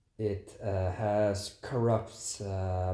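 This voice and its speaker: A man speaks in a Dutch accent with a dark, mellow tone and a fairly low pitch. His delivery is somewhat breathy, with monotone, flat intonation. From Netherlands. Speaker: travel vlogger. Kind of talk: casual commentary to camera.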